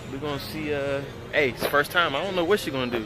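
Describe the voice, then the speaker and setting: A man speaks with clear music in the background, the sound dry with no echo. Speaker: car enthusiast vlogger. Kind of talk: casual vlog chat. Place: open country. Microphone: phone near.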